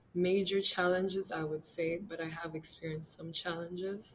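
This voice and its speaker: Against noticeable background noise, a woman's fairly low voice stays monotone with flat intonation. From Rwanda (Kigali). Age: 19. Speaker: college volleyball player. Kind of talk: interview.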